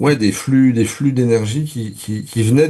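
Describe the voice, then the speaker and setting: At a fairly slow pace, a man talks in a dark, mellow tone that is somewhat breathy, his pitch varying in an ordinary way. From Paris region, France. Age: 60s. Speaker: spiritual interview guest, entrepreneur. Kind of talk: interview. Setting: radio studio. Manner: halting, many repetitions and fillers.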